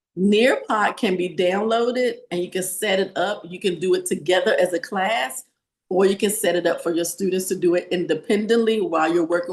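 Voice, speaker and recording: Someone with a Southern US accent talks at a fairly quick pace. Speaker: teacher. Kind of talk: webinar presentation.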